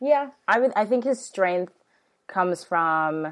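This woman has an ordinary speaking voice at a medium pitch. She talks at a moderate pace with lively intonation. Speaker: substitute podcast host. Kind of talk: casual chat.

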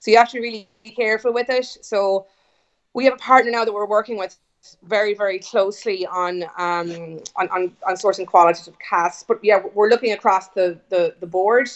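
The speaker has an Irish accent and fairly even intonation, talking at a moderate pace with big swings in loudness. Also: woman, medium pitch for a woman. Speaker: whiskey company founder. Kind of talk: interview. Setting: video call. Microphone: internet call audio, not studio quality.

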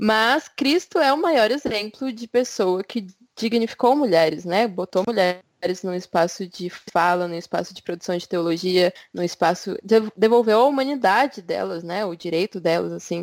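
Recorded with a dry, close sound and no echo, a woman has a normal speaking voice at a medium pitch and moderate pace, with lively intonation and big swings in loudness. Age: 20s. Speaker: podcast co-host. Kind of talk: casual chat.

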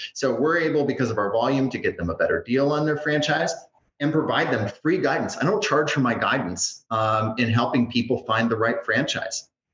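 A man with an unremarkable speaking voice talks at a fairly quick pace, pitched fairly high. His intonation is lively and his loudness very even. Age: 40s. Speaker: franchise consultant. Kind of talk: interview podcast.

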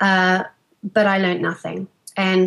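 Speaking with an Australian accent, a woman keeps a moderate pace and a medium pitch. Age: 40s. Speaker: fitness trainer, former teacher. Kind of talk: interview.

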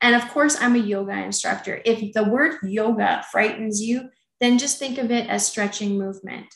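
A woman's plain, everyday voice at a moderate pace, with ordinary pitch variation. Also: fairly high pitch for a woman. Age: 50s. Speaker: chef and yoga instructor. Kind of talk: interview.

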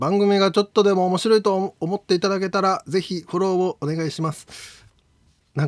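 A man puts on a robotic character voice, pitched high for a man. He talks at a moderate pace on a very clean recording with a silent background. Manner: flat monotone, robotic reading.

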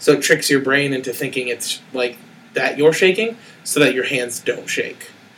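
A man with an ordinary speaking voice talks at a moderate pace, his fairly high pitch showing ordinary pitch variation. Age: 20s. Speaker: school teacher. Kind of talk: casual chat.

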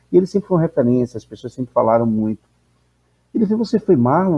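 With a fairly high pitch, a man's voice swings very widely up and down. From Salvador, Bahia, Brazil. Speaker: professor and anthropologist. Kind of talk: interview.

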